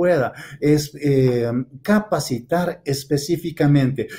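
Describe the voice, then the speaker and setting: A man speaks at a very slow pace in a fairly high pitch with ordinary pitch variation. His voice is somewhat breathy, with a dark, mellow tone. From Ecuador. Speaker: field biologist; presenter. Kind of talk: conference presentation. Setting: video call. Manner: halting, many fillers. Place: home room. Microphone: webcam.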